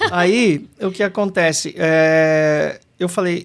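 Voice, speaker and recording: Recorded very cleanly against a silent background, a man speaks at a high pitch with ordinary pitch variation. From Brazil, São Paulo city. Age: 50s. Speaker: kung fu teacher. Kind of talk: podcast interview.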